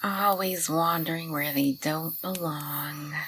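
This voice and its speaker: In a put-on character voice, a woman sounds gruff yet soft-spoken at a very deep, low pitch, with light background noise behind her. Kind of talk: ASMR roleplay. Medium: audio drama. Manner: grumpy, gruff, soft-spoken.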